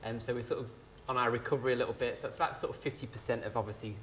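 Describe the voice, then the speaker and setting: Talking at a very fast pace, a man sounds somewhat breathy. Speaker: rail company sales manager. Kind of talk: business presentation. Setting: live event with audience. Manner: hesitant, many fillers.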